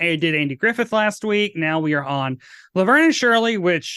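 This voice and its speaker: The man's tone is bright and sharp, his intonation lively and his pace fairly quick. The sound is dry and close, without echo. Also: quiet background. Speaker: podcast host, drag queen. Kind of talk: casual chat.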